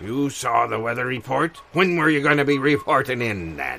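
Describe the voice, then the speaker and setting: A man's put-on character voice at medium pitch. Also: moderate pace. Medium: audio drama. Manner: salty pirate slang.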